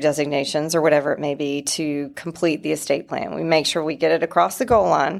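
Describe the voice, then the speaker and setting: Speaking with a slight North Carolina accent, a woman with a very deep, low pitch talks at a moderate pace and fairly even intonation in a very clean recording with a silent background. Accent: slight North Carolina Southern. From North Carolina (Wilson). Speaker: estate planning lawyer. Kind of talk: professional interview.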